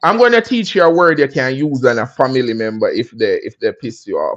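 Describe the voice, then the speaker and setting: An animated tone in a Jamaican accent at a moderate pace, over a quiet background. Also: man. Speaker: livestream host. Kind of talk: casual livestream chat. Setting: livestream on laptop.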